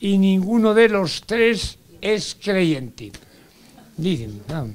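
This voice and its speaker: A man is talking. His intonation is lively. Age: 80s+. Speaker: audience member asking a question. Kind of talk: audience question at forum.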